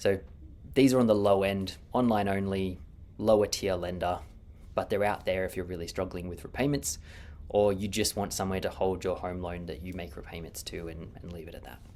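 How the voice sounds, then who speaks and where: This speaker has an Australian accent and talks at a fairly quick pace, with ordinary pitch variation and big swings in loudness. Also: man, very deep, low pitch for a man. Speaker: mortgage broker. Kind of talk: market update video. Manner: fast.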